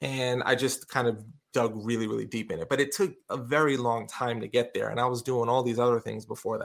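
A man in a normal speaking voice, with an American accent and medium pitch, talks at a fairly quick pace with hardly any pauses and fairly even intonation. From Brooklyn, New York City. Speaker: professional speaker and author. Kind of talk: casual interview chat.

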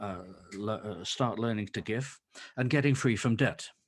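On a very clean recording with a silent background, a man speaks with an English accent at a moderate pace and with ordinary pitch variation. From England. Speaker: ministry founder and author. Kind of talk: interview. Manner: halting.

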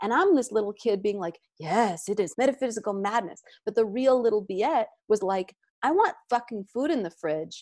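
This woman talks at a moderate pace with a fairly high pitch and lively intonation. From US, child of immigrants. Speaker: meditation teacher and musician. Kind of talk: casual interview chat.

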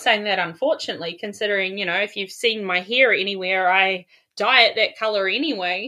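A woman's voice comes through noticeable background noise. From New Zealand. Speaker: life coach guest. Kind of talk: casual chat, storytelling.

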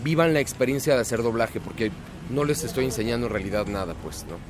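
A man talks at a very fast pace with a Mexico City accent. Music plays in the background. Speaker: voice-over announcer. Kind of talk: casual chat.

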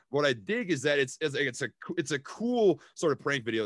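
With a Minnesota accent, a man talks at a fairly quick pace and with lively intonation. The sound is dry and close with no echo, over a quiet background. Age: 20s. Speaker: stock investor and YouTuber. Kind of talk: casual chat.

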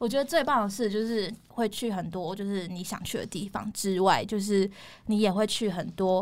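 This woman, in a plain, everyday voice, keeps a moderate pace and a medium pitch, with ordinary pitch variation. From Taiwan. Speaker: former flight attendant now in tech sales. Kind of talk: casual interview chat.

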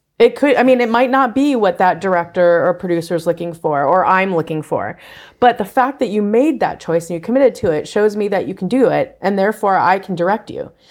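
A woman talks in an ordinary speaking voice with an American accent, medium in pitch. Her pace is fairly quick and her intonation lively. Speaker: casting director. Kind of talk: casual chat.

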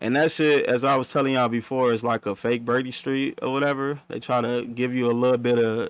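The speaker rattles along at a very fast pace in a monotone, flat intonation. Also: man. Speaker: podcast co-host. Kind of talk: casual chat. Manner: long-winded.

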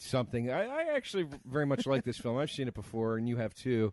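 A man speaks at a fairly quick pace in a plain, everyday voice of medium pitch. The sound is dry and close with no echo, over a quiet background. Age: 30s. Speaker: comedian podcast co-host. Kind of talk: casual chat.

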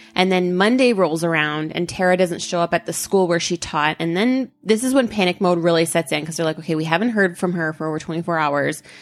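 Over music in the background, a woman with a fairly low pitch speaks at a very fast pace with ordinary pitch variation. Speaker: true crime podcast co-host. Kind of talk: casual chat.

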